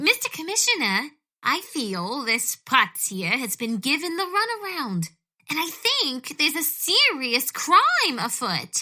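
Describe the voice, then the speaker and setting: A put-on character voice at a fairly slow pace, full of very wide pitch swings. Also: woman, high pitch for a woman. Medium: audio drama.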